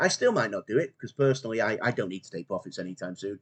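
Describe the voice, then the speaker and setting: A man's fairly low-pitched voice with a Mancunian accent. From northern England, Manchester. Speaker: crypto YouTuber, finance professional. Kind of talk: casual video monologue.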